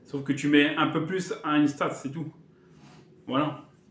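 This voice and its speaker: A man with fairly even intonation and audible room echo. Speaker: gaming youtuber. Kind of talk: casual vlog talk to viewers. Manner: fast; hesitant, halting.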